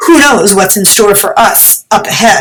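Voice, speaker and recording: A woman's put-on character voice, medium in pitch, at a moderate pace. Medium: read story. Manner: moody, lamenting.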